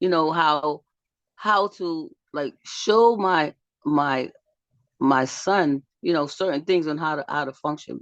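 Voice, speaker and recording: The speaker goes at a very slow pace, with long, frequent pauses and ordinary pitch variation. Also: woman. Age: 60s. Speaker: workshop facilitator, healer. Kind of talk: casual talk to online group. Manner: animated.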